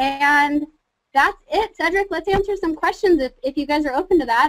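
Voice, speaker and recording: Passionate and energetic, a woman speaks at a high pitch with ordinary pitch variation. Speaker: social media marketing trainer. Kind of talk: webinar presentation. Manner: fast; passionate, energetic.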